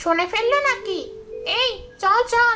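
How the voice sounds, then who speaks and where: A woman performs a cartoonish character voice, squeaky and extremely high in pitch. Her pitch variation is ordinary. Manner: gossipy.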